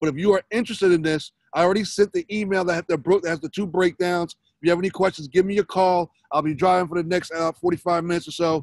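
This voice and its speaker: A man with a high voice for a male talks at a very fast clip, the sound dry and close with no echo. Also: fairly even intonation. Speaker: network marketing presenter. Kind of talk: sales pitch. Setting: in a car, pulled over, webinar.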